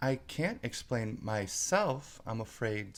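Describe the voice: Someone plainly reads aloud. Pitch variation is ordinary.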